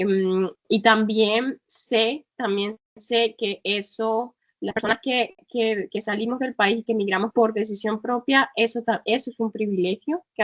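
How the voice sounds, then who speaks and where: A woman speaks in a normal speaking voice at a fairly high pitch and fairly slow pace. Her intonation stays fairly even, with hardly any pauses. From northern Colombia. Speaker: travel blogger and travel agency founder. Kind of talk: interview.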